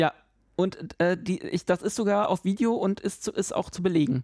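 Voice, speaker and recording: Dry, close sound with no echo, and a man's high voice with a dark, mellow tone at a fairly quick pace. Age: 30s. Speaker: podcast co-host. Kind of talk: casual chat.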